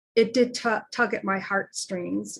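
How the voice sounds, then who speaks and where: Here a woman speaks at medium pitch. Her voice is somewhat breathy. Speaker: virtual assistant and online speaker. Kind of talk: personal testimony monologue. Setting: recorded livestream on an app, also recorded to video call. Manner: halting, with fillers and restarts.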